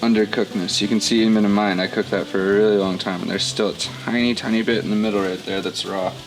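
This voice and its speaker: Over music in the background, a man with an American accent talks at a fairly low pitch in an upbeat tone. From Southern US (North Carolina). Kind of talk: cooking tutorial to camera. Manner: casual, upbeat.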